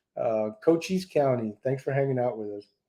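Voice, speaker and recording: A man talks with a Texan accent. His tone is dark and mellow. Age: 60s. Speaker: BBQ cooking YouTuber. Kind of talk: live stream Q&A. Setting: live stream.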